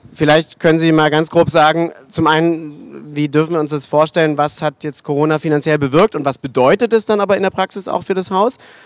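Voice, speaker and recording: Delivered at a fairly quick pace with hardly any pauses, the speech has ordinary pitch variation and a dry sound with no echo against a quiet background. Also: man. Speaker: panel moderator. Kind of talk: panel discussion. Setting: stage with audience. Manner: hesitant, many fillers. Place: stage.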